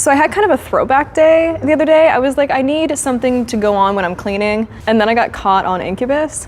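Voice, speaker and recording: Over noticeable background noise, a woman speaks at a high pitch with lively intonation. She goes very fast, with hardly any pauses. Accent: Canadian. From Ontario, Canada (Sarnia). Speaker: on-camera personality on a blind date. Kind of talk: casual chat.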